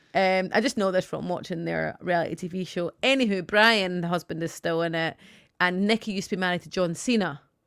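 Words come fairly quickly in an unremarkable speaking voice. Behind it, the background is silent and the recording very clean. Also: woman, medium pitch for a woman, ordinary pitch variation. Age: 30s. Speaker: podcast co-host. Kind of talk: casual chat.

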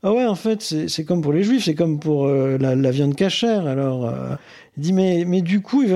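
His tone is dark and mellow. The man's intonation is lively, and his pace is moderate. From northern France, Boulogne-sur-Mer (Pas-de-Calais). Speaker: interviewee sharing his love story. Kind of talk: personal testimony. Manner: hesitant, repeats words.

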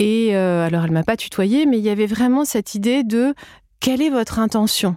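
On a very clean recording with a silent background, a woman with a plain, everyday voice talks at a moderate pace, her fairly high pitch moving in lively intonation. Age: 40s. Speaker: podcast host and yoga teacher. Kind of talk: casual interview.

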